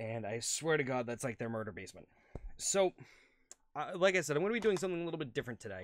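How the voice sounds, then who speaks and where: A man with vocal fry speaks very fast, with very wide pitch swings and long, frequent pauses. The sound is dry, with no echo. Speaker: gaming youtuber. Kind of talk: casual chat; reading aloud. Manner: hesitant fillers. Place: home room.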